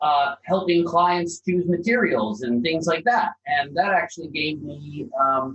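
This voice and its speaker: Hardly pausing, a man with a high pitch and a slight Canadian accent talks with lively intonation. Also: fairly slow pace. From Canada (Calgary, Alberta). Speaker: property developer. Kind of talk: podcast interview.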